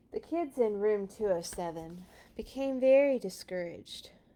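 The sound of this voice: Someone reads with lively intonation in an unforced reading voice.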